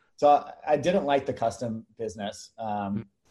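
In an American accent, a man speaks in a somewhat breathy voice with a dark, mellow tone. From Los Angeles, California. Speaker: entrepreneur. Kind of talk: interview.

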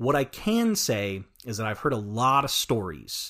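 Over a silent background on a very clean recording, a man talks at medium pitch with an American accent. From rural Oklahoma. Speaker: filmmaker and podcaster. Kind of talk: casual interview chat. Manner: halting, many fillers and repetitions.

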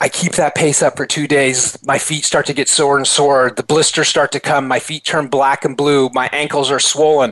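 Fairly high-pitched male speech with hardly any pauses over noticeable background noise. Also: moderate pace. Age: 50s. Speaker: motivational speaker and author. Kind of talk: interview. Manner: animated.

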